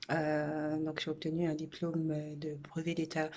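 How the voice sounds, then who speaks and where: A woman talks fairly slowly in a very clean recording where the background is silent. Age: 30s. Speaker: social worker seeking a job. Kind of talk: video self-presentation. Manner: halting, many hesitations.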